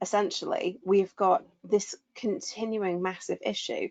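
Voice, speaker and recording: Someone with a southern English accent speaks at a fairly slow pace with ordinary pitch variation. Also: woman. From southwest England. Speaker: burnout expert. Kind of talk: webinar discussion.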